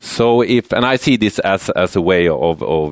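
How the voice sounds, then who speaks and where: A man with a Swedish accent, vocal fry and very wide pitch swings, in a dry, close sound with no echo. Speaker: university lecturer in building and real estate economics. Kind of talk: conference presentation. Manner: halting, many repetitions and fillers.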